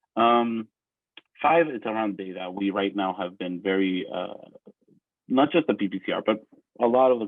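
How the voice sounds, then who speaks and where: Here a man is speaking. His pitch variation is ordinary. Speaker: conference presenter. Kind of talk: conference presentation. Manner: fast.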